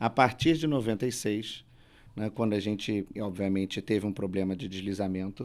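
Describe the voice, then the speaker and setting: Fairly low in pitch, a man speaks at a moderate pace with ordinary pitch variation. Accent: Rio de Janeiro. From Rio de Janeiro, Brazil. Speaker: lawyer. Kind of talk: panel discussion.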